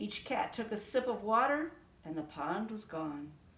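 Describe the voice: A woman speaks at a medium pitch with big swings up and down. Her tone is fairly bright, and the room echo is audible. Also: fairly slow pace.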